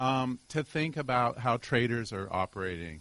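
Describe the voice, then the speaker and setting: A man is speaking. His pace is fairly slow. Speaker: academic audience member asking a question. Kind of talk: audience question. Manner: loud.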